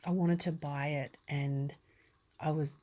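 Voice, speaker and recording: A woman speaks in a flat monotone with a very deep, low pitch and a somewhat breathy quality. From Australia. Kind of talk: ASMR talk. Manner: calm, relaxed.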